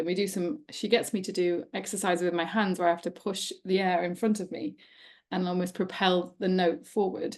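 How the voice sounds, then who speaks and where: Medium pitch and fairly even intonation in a woman's voice. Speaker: podcast co-host and nutrition coach. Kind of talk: casual chat. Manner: fast; quiet.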